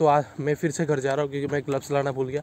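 Over light background noise, a man speaks at a fairly quick pace, the sound dry with no echo. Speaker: motovlogger. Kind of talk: casual vlog chat. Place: street. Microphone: phone near.

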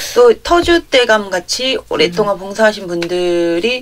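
A woman speaks at a very slow pace with medium pitch. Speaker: pharmaceutical clinical trials worker, church member. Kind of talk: casual chat.

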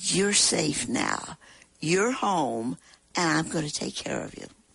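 A woman talks at a very slow pace with vocal fry. The sound is dry and close, with no echo. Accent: American. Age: 90s. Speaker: war veteran. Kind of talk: interview.

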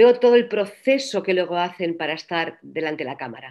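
Lively intonation from a woman at medium pitch and a moderate pace, against a quiet background. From Catalonia, Spain (Reus); Catalonia, Spain. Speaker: actress and voice coach; actress, voice coach. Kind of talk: interview. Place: home room. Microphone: video call.

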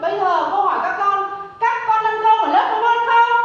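Over strong room echo, a woman speaks at a fairly slow pace with an extremely high pitch and ordinary pitch variation. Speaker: teacher in comedy sketch. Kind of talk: acted comedy dialogue. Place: classroom.

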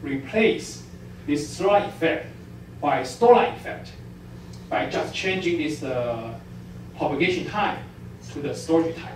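Over light background noise and audible room echo, a man with a fairly high pitch speaks at a fairly slow pace with lively intonation. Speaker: physics professor. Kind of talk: lecture. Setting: stage with audience. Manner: halting. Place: hall.

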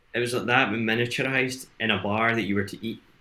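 A man speaks with a bright, sharp tone at a medium pitch, his intonation fairly even. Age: 20s. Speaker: entrepreneur in education and training; interview guest. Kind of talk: casual chat. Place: home room.

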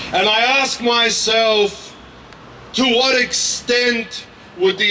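A man with an Australian accent at a very slow pace, high in pitch, raised and projected but monotone and flat, over light background noise. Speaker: activist; speaker. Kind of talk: protest speech. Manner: impassioned. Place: street. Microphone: handheld.

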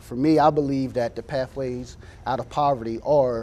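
An ordinary speaking voice from a man with an American accent, medium in pitch, with fairly even intonation and light background noise. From US Mid-Atlantic. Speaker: city council candidate. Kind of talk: call-in show. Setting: studio. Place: studio.

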